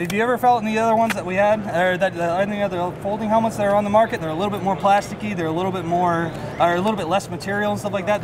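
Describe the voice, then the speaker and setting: A man speaks very fast in a high voice, his intonation fairly even, with noticeable background noise. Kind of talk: interview answer. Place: hall. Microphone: camera far.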